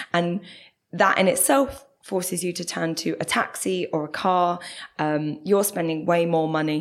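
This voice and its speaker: At a fairly slow pace, a woman with a South London accent speaks in a fairly low voice with ordinary pitch variation. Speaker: bus campaigner. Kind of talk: interview.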